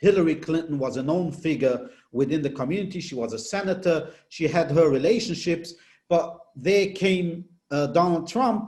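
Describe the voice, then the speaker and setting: Speaking with a non-native accent, a man uses a high voice at a moderate pace with ordinary pitch variation. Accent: foreign. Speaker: political reporter. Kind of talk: interview.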